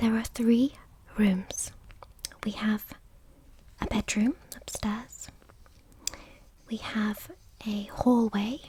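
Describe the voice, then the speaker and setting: A soft-spoken voice with a British accent. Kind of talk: ASMR picture-book reading.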